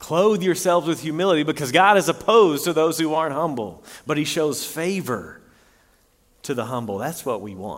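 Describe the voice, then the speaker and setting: On a very clean recording with a silent background, a man with a fairly high pitch speaks at a moderate pace, with vocal fry and lively intonation. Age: 30s. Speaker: pastor. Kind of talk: sermon.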